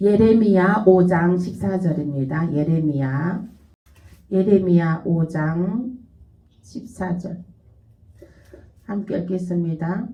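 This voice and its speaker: With audible room echo, a woman speaks very slowly with long, frequent pauses, her somewhat breathy voice dark and mellow in tone, fairly low in pitch, with ordinary pitch variation. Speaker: pastor. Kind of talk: sermon.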